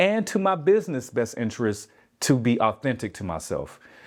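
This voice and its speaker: Male speech in an American accent, set against a quiet background. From US South, Albany, Georgia. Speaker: yoga teacher and wellness business owner. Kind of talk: interview. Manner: relaxed, unguarded Southern speech.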